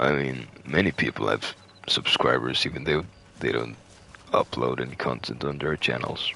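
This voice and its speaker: Over noticeable background noise, a man with a Finnish accent talks in a very deep, low pitch. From Finland. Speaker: gamer streamer. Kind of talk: casual chat. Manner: halting.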